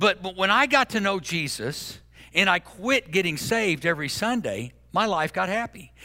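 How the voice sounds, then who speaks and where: With a raised, projected voice, a man speaks at a high pitch with lively intonation and a bright, sharp tone. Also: moderate pace. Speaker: pastor. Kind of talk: sermon. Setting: church with live audience and online stream. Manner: loud.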